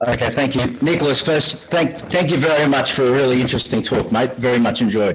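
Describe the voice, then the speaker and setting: A man with an Australian accent and medium pitch talks at a fairly quick pace with hardly any pauses, ordinary pitch variation, and very even loudness. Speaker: audience member. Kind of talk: question from audience.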